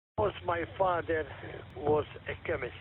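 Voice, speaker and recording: Noticeable background noise sits under the recording. A man speaks at a very slow pace with ordinary pitch variation. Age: 60s. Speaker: vintage radio collector. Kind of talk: presentation on amateur radio net. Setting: amateur radio net. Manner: halting.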